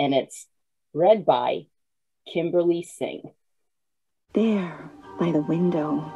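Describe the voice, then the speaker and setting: A woman speaks very slowly with a fairly low pitch. Her pitch varies in an ordinary way over a quiet background. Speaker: author and host of listening party. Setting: video call. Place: home room. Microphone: video call.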